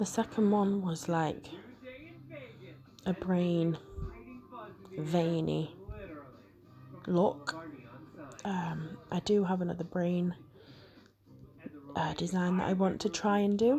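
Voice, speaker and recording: A soft-spoken woman with a British accent talks very slowly in a fairly low voice, with fairly even intonation. Long, frequent pauses break up her speech, and music plays in the background. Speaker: nail art creator. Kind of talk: tutorial voiceover. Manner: quiet, soft-spoken.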